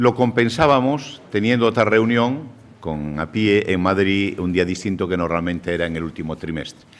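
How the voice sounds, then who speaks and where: Over noticeable background noise, a man with a Galician accent talks at a moderate pace in a fairly low pitch with lively intonation. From Galicia, Spain. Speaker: savings bank federation president, speaker. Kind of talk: conference lecture. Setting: seminar with audience.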